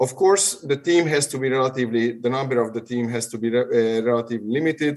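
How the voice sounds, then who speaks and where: A man with a Hungarian accent talks at a very fast pace, his pitch varying in an ordinary way. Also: medium pitch for a man, hardly any pauses. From Hungary. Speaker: urologic surgeon. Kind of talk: webinar Q&A answer. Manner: halting.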